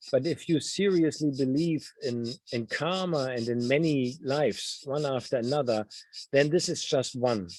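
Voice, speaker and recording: A man talks with a German accent. His pitch varies in an ordinary way. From Germany. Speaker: novelist. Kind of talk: Q&A interview. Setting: video call. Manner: halting.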